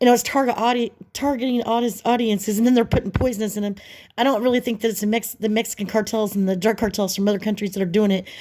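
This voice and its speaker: A woman with a fairly high pitch and a dark, mellow tone speaks at a very fast pace with fairly even intonation. The recording is very clean, the background silent. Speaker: vlogger. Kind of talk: casual vlog monologue.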